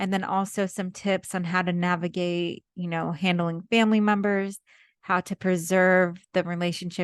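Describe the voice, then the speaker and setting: Over a quiet background, a woman talks at a moderate pace in a medium pitch with monotone, flat intonation and a dry, close sound with no echo. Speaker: wedding photographer. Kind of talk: podcast monologue. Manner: casual.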